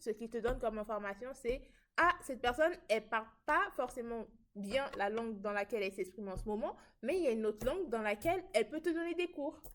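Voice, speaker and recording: A woman speaks in a normal speaking voice at a fairly high pitch and moderate pace, her intonation lively. The recording is very clean with a silent background. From southern France. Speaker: student podcast host. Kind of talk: casual chat.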